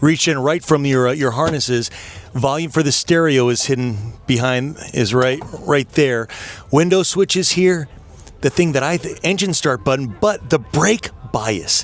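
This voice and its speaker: Music plays in the background as a man speaks in an animated tone, his fairly high pitch showing ordinary pitch variation. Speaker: car show host. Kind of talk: event walkaround interview.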